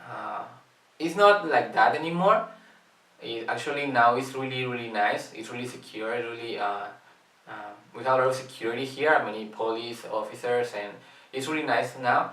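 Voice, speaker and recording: A man at medium pitch and a moderate pace, with ordinary pitch variation and big swings in loudness, amid audible room echo and noticeable background noise. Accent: Spanish. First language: Spanish. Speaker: youth volunteer. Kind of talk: promotional invitation video. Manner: halting, many fillers.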